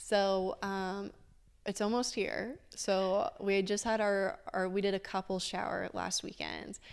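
A very clean recording with a silent background captures a woman talking fairly slowly. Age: 20s. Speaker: professional drag racer. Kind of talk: interview. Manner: filler-heavy, hesitant.

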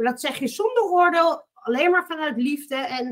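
A woman at a moderate pace, with lively intonation. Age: 40s. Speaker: coaching client, businesswoman. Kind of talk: casual interview.

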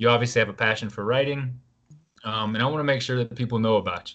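A man with an American accent uses a normal speaking voice at medium pitch with ordinary pitch variation. He speaks at a fairly quick pace against a quiet background. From US South (Atlanta). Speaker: podcast host, author. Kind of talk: casual interview.

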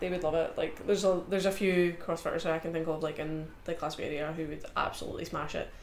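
Noticeable background noise sits behind a woman speaking at a very fast pace with a Scottish accent. Her voice is fairly low in pitch, and her intonation stays monotone and flat. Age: 20s. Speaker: powerlifter. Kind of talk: casual chat.

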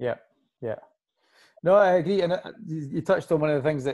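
Speaking with a Scottish accent, a man uses a dark, mellow tone, ordinary pitch variation and a fairly quick pace on a very clean recording with a silent background. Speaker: podcast host and lifting coach. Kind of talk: casual chat.

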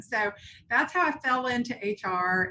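A woman with a slight Tennessee accent, a bright, sharp tone and ordinary pitch variation. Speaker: HR executive. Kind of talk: interview.

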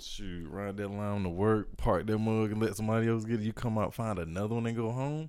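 Here is a man with a plain, everyday voice and a fairly low pitch. He moves at a fairly quick pace with hardly any pauses and ordinary pitch variation. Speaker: podcast host. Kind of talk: casual chat. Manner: joking, playful.

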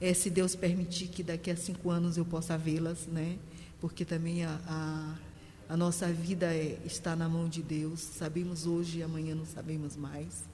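A woman's fairly low, monotone, flat voice at a fairly slow pace, with audible room echo and noticeable background noise. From Maranhão, Brazil (São Luís). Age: 60s. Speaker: literature teacher. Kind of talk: interview conversation.

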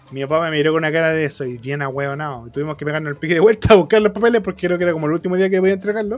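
A man with a Chilean accent at a very fast pace, hardly any pauses, and noticeable background noise. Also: fairly high pitch for a man, ordinary pitch variation. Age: 20s. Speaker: podcast host. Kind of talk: casual chat.

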